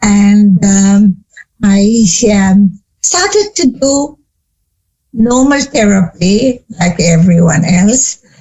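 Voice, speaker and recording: Somewhat breathy, a woman speaks at a very slow pace with long, frequent pauses. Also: medium pitch for a woman, ordinary pitch variation. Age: 80s+. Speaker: psychologist and family therapist. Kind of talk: interview.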